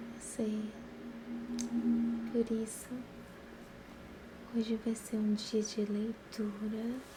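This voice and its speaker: Speaking at a very slow pace with long, frequent pauses, a woman keeps a fairly high pitch, flat monotone intonation, and very even loudness over noticeable background noise. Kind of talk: casual talk to viewers.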